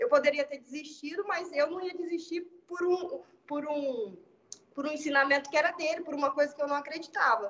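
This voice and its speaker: Fairly quick speech with ordinary pitch variation and light background noise. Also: woman, high pitch for a woman. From Brazil. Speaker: civil engineer. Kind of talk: panel discussion. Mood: reflective, personal. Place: home room. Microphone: video call.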